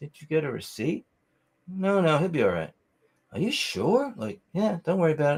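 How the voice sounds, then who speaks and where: A man's fairly high voice with vocal fry and an American accent at a fairly quick pace. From New York. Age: 70s. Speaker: musician. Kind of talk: casual chat. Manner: animated.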